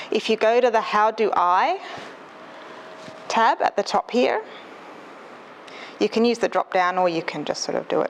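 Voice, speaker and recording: Over noticeable background noise, a soft-spoken woman with an Australian accent talks at a fairly high pitch with lively intonation. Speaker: librarian. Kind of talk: presentation. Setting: stage with audience. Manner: fast.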